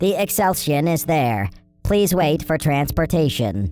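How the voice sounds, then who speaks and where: At a middle pitch, a robotic put-on character voice speaks at a fairly slow pace. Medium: read story. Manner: terse, mechanical.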